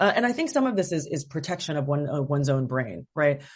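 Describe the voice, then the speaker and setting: A woman's very deep, low voice at a very fast pace against a quiet background. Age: 40s. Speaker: novelist. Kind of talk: interview. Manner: hesitant, many fillers.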